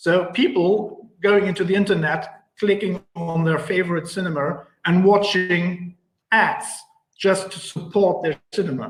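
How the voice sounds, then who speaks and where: A man speaks with a German accent at a high pitch. His pace is fairly slow and his intonation fairly even. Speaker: cinema advertising executive. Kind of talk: panel interview. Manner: halting, many fillers.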